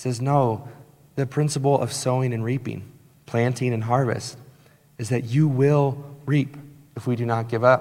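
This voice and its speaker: A man at a medium pitch and moderate pace, in monotone, flat intonation, with long, frequent pauses and audible room echo. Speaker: pastor. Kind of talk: sermon. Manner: emphatic, repeats points.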